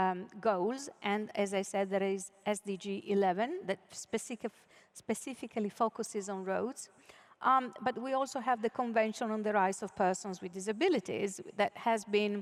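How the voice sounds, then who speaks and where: A woman speaks at a medium pitch with an Italian accent. Her pace is moderate. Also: ordinary pitch variation. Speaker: keynote speaker, UN official. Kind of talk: conference keynote speech. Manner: hesitant, with frequent fillers.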